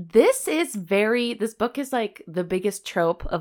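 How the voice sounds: This is a natural reading voice. Its intonation is lively.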